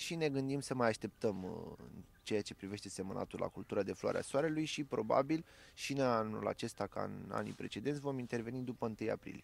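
Ordinary pitch variation shapes a man's fairly quick delivery. No echo colors the dry sound. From Romania. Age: 20s. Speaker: farmer and agronomist; interviewee. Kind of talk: interview. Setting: outdoors on a farm field. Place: farm machine. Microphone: handheld.

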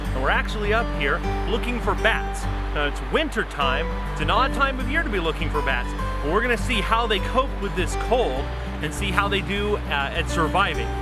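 Loud music plays in the background as a man speaks at a moderate pace. His voice sounds dry, with no echo. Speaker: falconer and nature educator. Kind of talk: casual talk to camera. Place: open country.

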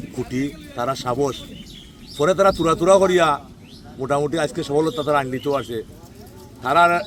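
With a Sylheti accent, a man speaks over noticeable background noise. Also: fairly high pitch for a man, ordinary pitch variation. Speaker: local elected ward member. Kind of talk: speech at a local road inauguration.

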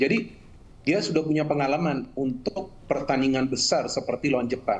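A man's normal speaking voice, medium in pitch, with ordinary pitch variation and a fairly quick pace. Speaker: football pundit. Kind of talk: news interview. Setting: video call.

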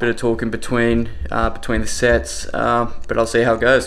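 A man's voice over music in the background. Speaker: fitness vlogger. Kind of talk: casual vlog chat. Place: kitchen. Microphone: phone near.

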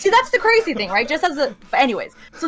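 Over a quiet background, a woman with a Canadian accent speaks in a bright, sharp tone with very wide pitch swings. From Canada. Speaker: esports journalist. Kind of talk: casual chat. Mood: opinionated, animated. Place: home room.

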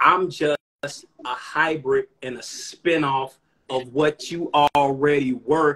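Against a quiet background, a man with an American accent speaks at a very slow pace, his fairly high pitch, bright, sharp tone and fairly even intonation all clear. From Chicago. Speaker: rapper. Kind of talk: casual chat. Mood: relaxed, appreciative. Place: home room. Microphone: phone near.

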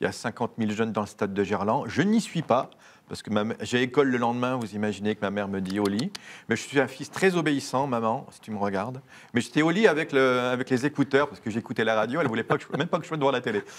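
A man talks at a very fast pace in a medium pitch. His pitch variation is ordinary, and his loudness swings widely. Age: 40s. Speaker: priest. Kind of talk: interview. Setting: studio. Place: studio. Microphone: lapel.

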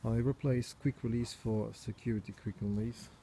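A dark, mellow, somewhat breathy voice at a very slow pace over light background noise. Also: man. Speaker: bike owner reviewing his bike. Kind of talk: casual product review. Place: garden. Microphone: phone near.

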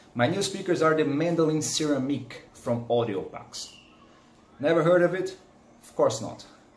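Speaking in a Portuguese accent at a moderate pace, a man with a fairly high pitch and ordinary pitch variation shows big swings in loudness amid audible room echo. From Brazil. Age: 30s. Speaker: hobbyist audiophile YouTuber. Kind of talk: product review vlog. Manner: animated. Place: home room. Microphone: phone near.

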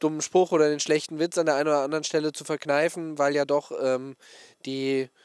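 Against a quiet background, a man speaks in a monotone, flat intonation, and the sound is dry with no echo. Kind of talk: interview answer. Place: open country. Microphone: handheld.

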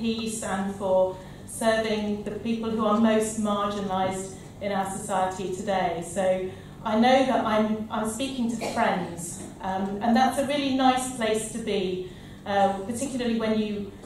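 A woman speaks at a fairly slow pace with fairly even intonation. Strong room echo and light background noise fill the recording. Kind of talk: conference speech. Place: hall. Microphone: podium.

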